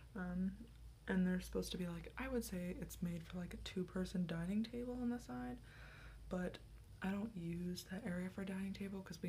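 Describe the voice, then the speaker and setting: Soft-spoken and whispering, a woman talks at a fairly quick pace over light background noise. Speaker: ASMR creator. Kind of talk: soft-spoken ASMR get-ready-with-me talk. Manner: soft-spoken, whispery, chatty, rambling; goofy, casual. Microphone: phone near.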